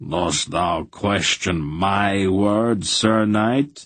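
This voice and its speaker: In a put-on character voice, a man speaks at a fairly low pitch. His pace is very slow. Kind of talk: archaic, formal. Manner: ominously quiet, calm menace.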